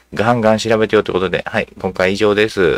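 A man speaks in a fairly low pitch. The sound is dry and close, with no echo. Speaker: video channel host. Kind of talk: casual monologue on politics. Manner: rambling, filler-heavy, casual; self-described uninformed.

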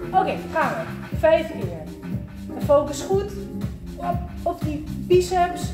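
A woman's voice with clear music in the background. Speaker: fitness instructor. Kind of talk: workout class instruction. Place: gym. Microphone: camera far.

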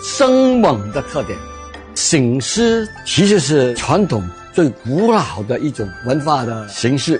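A man speaks at a very slow pace with a fairly high pitch and very wide pitch swings. Clear music plays in the background. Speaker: university professor, expert in Cantonese culture. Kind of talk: interview answer. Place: cafe.

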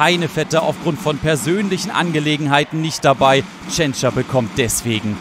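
Lively intonation marks this man's fairly high voice as he speaks at a moderate pace over noticeable background noise. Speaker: handball commentator. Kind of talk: live sports commentary over match highlights, voiceover style.

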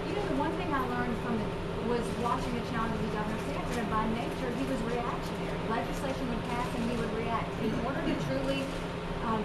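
A woman talks at a very fast pace. Loud background noise fills the recording. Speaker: candidate. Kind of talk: press conference answer.

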